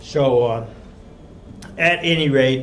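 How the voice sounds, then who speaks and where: With audible room echo, a man in a Texan accent speaks at a very slow pace. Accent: Texan US Southern. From Texas, San Antonio. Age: 70s. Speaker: retired math professor, invited speaker. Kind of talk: lecture. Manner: halting.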